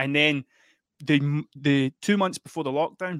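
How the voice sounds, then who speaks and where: A fairly high-pitched man with an Ayrshire accent and ordinary pitch variation, in a dry, close sound with no echo on a very clean recording with a silent background. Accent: Ayrshire Scottish. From Scotland, Ayrshire. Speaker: musician and artist. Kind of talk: casual chat.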